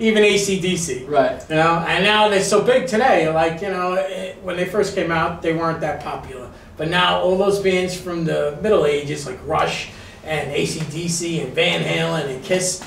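There is audible room echo and light background noise as a man speaks at a moderate pace with hardly any pauses. His pitch is high, with ordinary variation. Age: 50s. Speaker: music show host. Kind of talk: casual interview. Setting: studio. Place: studio.

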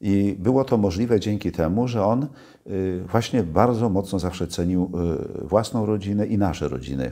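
A man with a dark, mellow tone, fairly low pitch, ordinary pitch variation and moderate pace over a quiet background. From Poland, Gdańsk (Kashubian mother); Poland. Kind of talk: interview. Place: home room.

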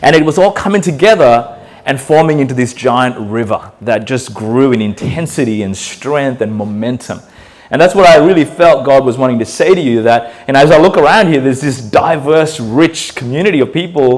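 Lively intonation from a man, delivered at a moderate pace. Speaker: guest pastor. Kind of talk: sermon. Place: church. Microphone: handheld.

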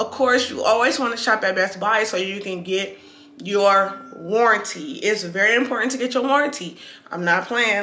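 A woman at a moderate pace, fairly even intonation, and audible room echo. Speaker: vlogger. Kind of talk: casual vlog chat, product review. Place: home room. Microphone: camera far.

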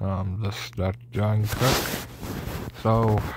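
Over noticeable background noise, a man with a fairly low pitch speaks at a very slow pace in a dry sound with no echo. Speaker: reaction video creator. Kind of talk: casual reaction commentary. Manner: rambling, repetitive, stumbling over words. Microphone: phone near.

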